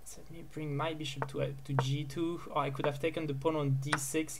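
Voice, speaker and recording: Noticeable background noise sits behind talking delivered at a moderate pace. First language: not English. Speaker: chess player streaming his games. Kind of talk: live commentary while playing bullet chess. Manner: halting, with many repeated words and fillers.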